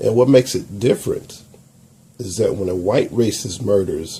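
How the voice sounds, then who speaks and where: Speaking fairly slowly with an American accent, a man has a medium-pitched, dark, mellow tone that is somewhat breathy. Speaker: YouTube commentator. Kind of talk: video commentary.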